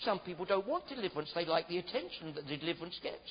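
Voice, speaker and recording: A man's voice sits at a high pitch, and his intonation is lively. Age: 60s. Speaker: preacher. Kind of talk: testimony; sermon. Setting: church.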